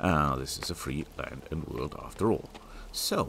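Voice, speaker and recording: Noticeable background noise fills the clip. A man talks through it at a fairly slow pace. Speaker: gaming youtuber. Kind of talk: gameplay commentary. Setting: at home, family asleep. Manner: soft-spoken.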